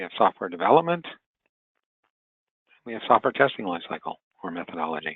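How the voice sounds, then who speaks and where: A man with a very deep, low voice talks very fast with lively intonation, big swings in loudness and long, frequent pauses. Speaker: webinar trainer. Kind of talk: webinar lecture. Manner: halting.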